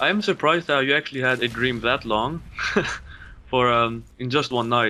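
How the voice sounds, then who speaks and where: A man talks in a Greek accent with a bright, sharp tone. His pitch varies in an ordinary way. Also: medium pitch for a man, moderate pace. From Greece. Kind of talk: gaming commentary.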